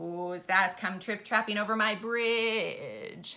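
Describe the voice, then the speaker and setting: A loud, bellowing woman in a put-on character voice, fairly high in pitch, at a very slow pace. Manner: menacing.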